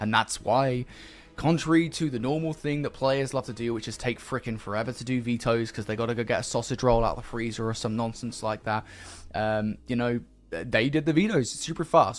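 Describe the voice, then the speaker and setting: A man with a British accent talks on a very clean recording with a silent background. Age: 20s. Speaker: esports caster. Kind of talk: live commentary.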